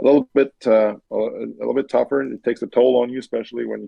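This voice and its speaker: This man has a French accent. He speaks at a fairly quick pace. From Quebec, Canada. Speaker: racing driver. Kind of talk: interview. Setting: podcast. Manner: halting, many repeated words and fillers.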